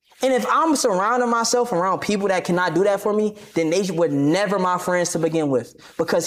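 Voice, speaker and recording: Over noticeable background noise, a man talks at a fairly quick pace. His pitch is high and his intonation lively. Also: very even loudness. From Maryland, PG County. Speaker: streamer and boxer. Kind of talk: interview.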